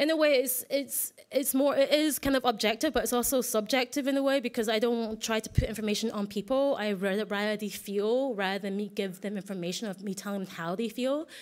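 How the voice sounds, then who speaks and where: The pace is fairly quick, with hardly any pauses. Pitch variation is ordinary. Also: woman, fairly high pitch for a woman. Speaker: artist giving a conference talk; conference presenter. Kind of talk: conference presentation. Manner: fast; halting, many restarts. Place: hall.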